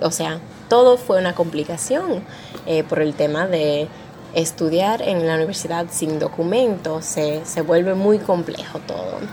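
Over noticeable background noise, a woman talks at a fairly slow pace with a fairly low pitch and ordinary pitch variation. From Arizona, US (Dominican family). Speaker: historian. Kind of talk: testimony.

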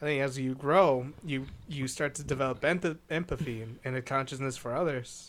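This man has a plain, everyday voice with fairly high pitch and fairly even intonation at a moderate pace. The recording is very clean, with a silent background. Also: hardly any pauses. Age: 20s. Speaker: podcast co-host. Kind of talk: casual chat.

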